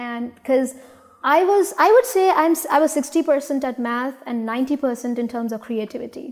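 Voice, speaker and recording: Speaking with an Indian accent, a woman uses a high pitch, ordinary pitch variation and a fairly slow pace. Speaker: startup founder. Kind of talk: interview. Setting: studio. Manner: halting.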